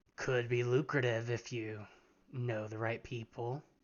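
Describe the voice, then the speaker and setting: A man's put-on character voice at medium pitch, moderate in pace, with monotone, flat intonation. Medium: actual play. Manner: casual, knowing.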